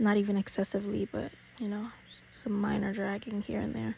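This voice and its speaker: Her tone is playful. The woman speaks at a moderate pace. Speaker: beauty YouTuber. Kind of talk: makeup tutorial. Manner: casual, playful.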